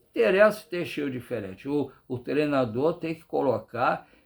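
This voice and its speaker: Speech at a moderate pace with lively intonation. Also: man. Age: 60s. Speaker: football fan commentator. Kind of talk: casual monologue commentary. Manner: halting, repetitive.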